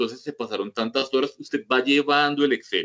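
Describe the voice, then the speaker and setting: The recording is dry and close, without echo. A man talks fairly quickly. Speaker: medical professor. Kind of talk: lecture with Q&A. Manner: fast; informal, direct.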